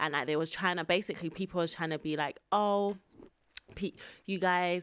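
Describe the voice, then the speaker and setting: In a very clean recording with a silent background, a woman with a London accent talks at a fairly quick pace in a fairly low pitch. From England, British-Nigerian. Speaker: podcast host. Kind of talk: casual chat. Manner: animated.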